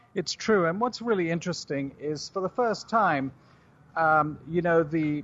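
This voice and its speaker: Against a quiet background, a man with a British accent talks at a moderate pace and a fairly high pitch, with ordinary pitch variation. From United Kingdom. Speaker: juice company CEO. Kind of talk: radio interview.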